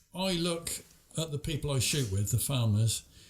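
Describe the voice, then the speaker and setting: Lively intonation marks this man's fairly high, somewhat breathy voice. He keeps a moderate pace. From Oxfordshire, England. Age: 70s. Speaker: farmer. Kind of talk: casual chat.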